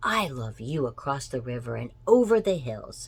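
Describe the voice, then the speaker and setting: A man puts on a character voice. He speaks at a medium pitch and a moderate pace. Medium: read story. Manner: gentle, warm.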